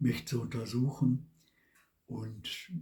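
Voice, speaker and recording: At a very slow pace, a man speaks in a somewhat breathy, dark, mellow tone at a medium pitch with ordinary pitch variation. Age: 70s. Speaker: vlogger. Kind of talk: personal testimony monologue.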